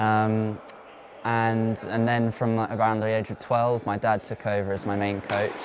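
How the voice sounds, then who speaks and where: With a southern English accent, a man speaks at a moderate pace and a fairly low pitch in monotone, flat intonation. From southern England, Oxfordshire. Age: 20s. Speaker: professional tennis player. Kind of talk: interview.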